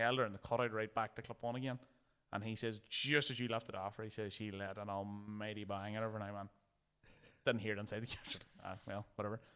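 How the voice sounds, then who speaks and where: Here a man speaks very fast in a Northern Irish accent, with a monotone, flat intonation. His tone is bright and sharp. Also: fairly low pitch for a man. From Ireland. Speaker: drift racing driver. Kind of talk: casual chat.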